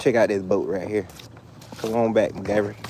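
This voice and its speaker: Noticeable background noise behind a man's fairly low-pitched voice. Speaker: fishing livestreamer. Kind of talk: casual live chat while fishing. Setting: outdoors by the water. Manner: loud.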